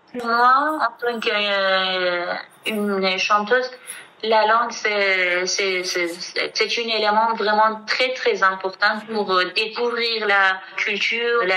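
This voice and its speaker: With a Kurdish accent, a woman with a fairly high voice talks at a very slow pace and with fairly even intonation, over noticeable background noise. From Iranian Kurdistan, Kermanshah. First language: Kurdish (speaking French). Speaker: singer. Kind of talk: interview testimony. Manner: halting.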